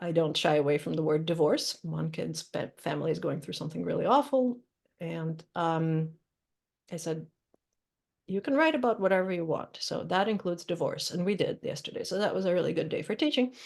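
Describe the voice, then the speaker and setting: Speaking at a fairly quick pace, a woman talks with a Russian accent. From Ukraine and Russia (Odessa, Moscow). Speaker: poet and creative writing teacher. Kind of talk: Q&A conversation at a reading event. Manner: hesitant, many fillers.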